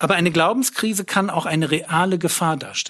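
This man speaks at a high pitch. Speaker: preacher. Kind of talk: sermon, direct address to listeners, teaching. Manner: earnest and lively, plain-spoken, emphatic; blunt, self-deprecating, with a sense of humor.

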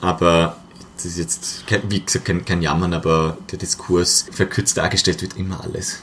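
A man's very deep, low voice holds a fairly even intonation and a moderate pace. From Austria, Vorarlberg. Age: 20s. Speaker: politician. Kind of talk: casual chat.

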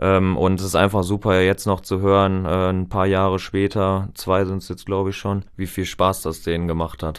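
A man with a very deep, low voice speaks at a moderate pace in a flat monotone, hardly pausing at all. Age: 20s. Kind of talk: casual chat. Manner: halting.

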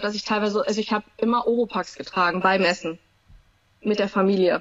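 A woman speaks with ordinary pitch variation. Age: 30s. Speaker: emergency nurse with misophonia. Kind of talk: interview. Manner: hesitant, many fillers.

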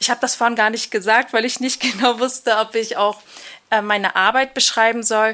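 A woman talks with a fairly high pitch and a bright, sharp tone. Her pace is moderate and her intonation fairly even. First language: Kurdish (Kurmanji) (speaking German). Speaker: migration counselor. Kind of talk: casual interview.

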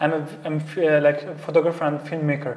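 Over noticeable background noise, a man with an Arabic accent talks at a fairly quick pace and a fairly high pitch. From Syria. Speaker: basketball coach and youth mental health coach. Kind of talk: interview conversation. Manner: halting, with many repetitions.

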